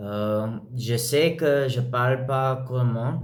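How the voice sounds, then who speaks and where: A man with a non-native accent speaks very slowly at a medium pitch, and the room echo is audible. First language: not French (speaking French). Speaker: language learner vlogger. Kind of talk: language practice monologue. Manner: halting, many fillers.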